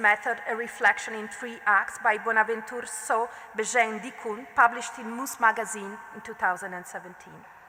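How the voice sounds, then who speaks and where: This voice has an Italian accent and fairly even intonation at a fairly quick pace. There is noticeable background noise. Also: woman. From Italy. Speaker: art historian. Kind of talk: lecture. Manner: formal.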